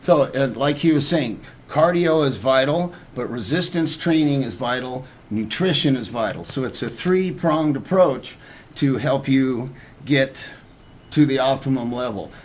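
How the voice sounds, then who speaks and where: A man speaks at a fairly slow pace in a medium-pitched voice, with audible echo from the room. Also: ordinary pitch variation. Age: 60s. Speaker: personal trainer. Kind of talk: talk show interview.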